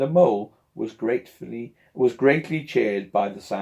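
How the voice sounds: Lively intonation in a natural reading voice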